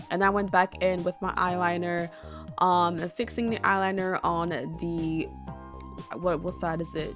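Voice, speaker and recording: With music in the background, a woman speaks at a moderate pace in a fairly low pitch, her intonation fairly even. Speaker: beauty content creator. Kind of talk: casual makeup tutorial talk to camera. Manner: hesitant, stumbling over words.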